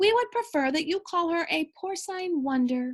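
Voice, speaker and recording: A put-on character voice comes out squeaky. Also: woman, extremely high pitch for a woman, moderate pace. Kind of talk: children's read-aloud. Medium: read story. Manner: formal, grandiose wording.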